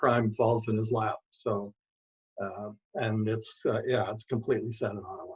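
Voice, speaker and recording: Somewhat breathy, a man speaks at a medium pitch and a moderate pace. His intonation is monotone and flat. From Manitoba, Canada (Rapid City). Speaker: author. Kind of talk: interview. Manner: hesitant, many fillers.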